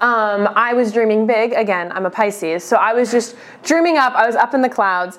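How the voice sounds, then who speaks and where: A woman talks in a normal speaking voice. Her pitch is fairly high and her pace moderate. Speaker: podcast co-host, youth center staff. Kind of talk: casual chat.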